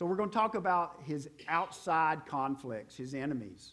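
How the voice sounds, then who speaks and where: Audible room echo surrounds a man with a Southern US accent and a fairly high pitch. He talks fairly slowly with lively intonation. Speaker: pastor. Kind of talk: sermon.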